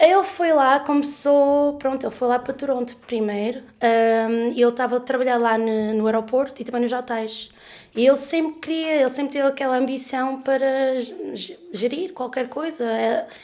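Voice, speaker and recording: A woman is speaking with a high pitch. Her pitch variation is ordinary. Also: moderate pace. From Canada (Leamington, Ontario). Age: 30s. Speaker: podcast guest, artist. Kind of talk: casual interview conversation. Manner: halting, many fillers and self-corrections.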